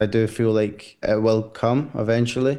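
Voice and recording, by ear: Moderate pace, fairly even intonation and a dark, mellow tone. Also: man, fairly low pitch for a man.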